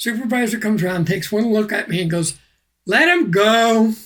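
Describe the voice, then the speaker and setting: A man's high, raised and projected voice with a bright, sharp tone, very wide pitch swings and a moderate pace. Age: 60s. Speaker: activist and retired mailman. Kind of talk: podcast interview storytelling.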